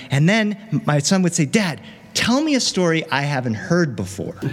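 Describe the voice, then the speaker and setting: A man's fairly quick speech in a plain, everyday voice with lively intonation. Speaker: professional storyteller. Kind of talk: storytelling performance. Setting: stage with audience.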